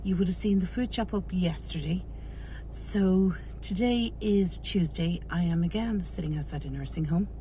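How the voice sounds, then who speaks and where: Speaking at a moderate pace, a woman talks in an Irish accent. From Ireland. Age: 40s. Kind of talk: casual talk to camera.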